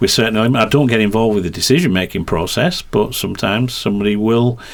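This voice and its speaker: A man with a slight Yorkshire accent, medium pitch, ordinary pitch variation, very even loudness and a very fast pace. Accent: slight Yorkshire twang. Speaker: motorsport commentator and team press officer. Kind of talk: podcast interview. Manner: halting, many fillers and repetitions.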